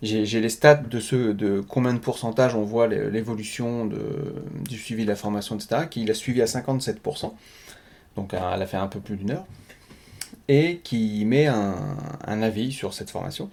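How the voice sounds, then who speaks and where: This man's voice sits at a medium pitch with ordinary pitch variation, moving at a moderate pace. He leaves long, frequent pauses. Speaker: web marketing trainer and podcaster. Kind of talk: casual solo podcast monologue. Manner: hesitant, stumbles over words.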